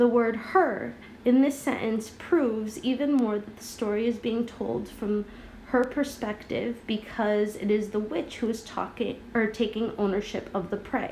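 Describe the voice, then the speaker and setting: A woman's fairly high voice with ordinary pitch variation over noticeable background noise. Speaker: middle school teacher. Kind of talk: tutorial. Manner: slow.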